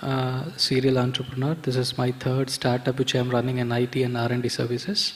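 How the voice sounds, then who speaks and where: Over noticeable background noise, a man with a medium-pitched voice talks at a moderate pace. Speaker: entrepreneur. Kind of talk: panel discussion.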